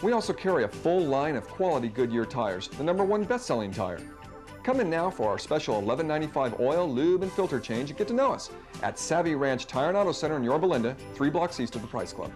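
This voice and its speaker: Over music in the background, a man rushes along at a very fast pace with very wide pitch swings. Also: fairly high pitch for a man. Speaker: voice actor. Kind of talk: TV commercial read.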